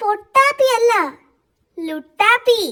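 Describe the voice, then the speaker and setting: Squeaking at an extremely high pitch, a woman performs a put-on character voice. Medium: read story. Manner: boastful, impatient.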